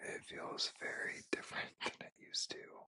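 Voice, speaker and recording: Someone whispers at a very slow pace. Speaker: ASMR creator and F1 fan. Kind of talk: whispered ASMR show-and-tell merch haul. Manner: whispered, soft-spoken, slow.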